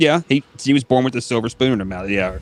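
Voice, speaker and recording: Background music behind a man speaking in an American accent. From northern US. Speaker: podcast host. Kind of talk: casual chat.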